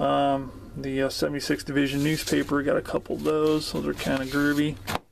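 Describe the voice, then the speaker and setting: Over noticeable background noise, a man's speech runs at a fairly quick pace. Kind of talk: casual vlog chat. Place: home room. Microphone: phone near.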